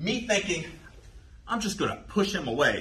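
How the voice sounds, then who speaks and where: A man speaks with lively intonation in a room with audible echo and noticeable background noise. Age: 50s. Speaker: jiu jitsu instructor. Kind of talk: tutorial. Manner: casual.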